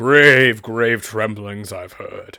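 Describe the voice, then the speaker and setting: In a raspy put-on character voice, a man at medium pitch keeps his intonation fairly even. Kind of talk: comic overacting. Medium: actual play. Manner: pompous, theatrical.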